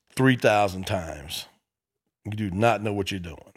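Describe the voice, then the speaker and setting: A man with a Memphis accent at a moderate pace, fairly low in pitch with ordinary pitch variation, on a very clean recording with a silent background. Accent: Southern US (Memphis). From US South, Memphis, Tennessee. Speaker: comedian. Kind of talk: casual chat.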